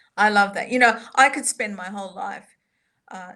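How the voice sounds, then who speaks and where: A woman with an Australian accent, bright, sharp tone and moderate pace. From Australia, Sydney. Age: 50s. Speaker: soprano and composer. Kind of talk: interview.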